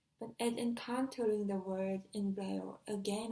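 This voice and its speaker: The voice has a dark, mellow tone and is somewhat breathy. It moves at a fairly slow pace in a Korean accent. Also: woman. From South Korea. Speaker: deafblind exchange student. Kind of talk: personal talk. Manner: halting, with some self-corrections.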